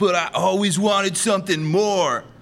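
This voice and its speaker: A man talks at a moderate pace in a raised, projected voice. Music plays in the background. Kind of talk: pitchman ad parody, bro-y energy drink and law firm commercials. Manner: loud, hyped, macho shouting, excitable, swaggering.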